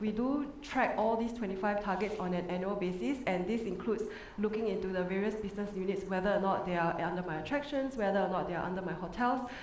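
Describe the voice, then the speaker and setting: Very fast, medium-pitched female speech with ordinary pitch variation and hardly any pauses, with audible room echo and noticeable background noise. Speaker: resort sustainability manager, conference panelist. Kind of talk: conference panel presentation.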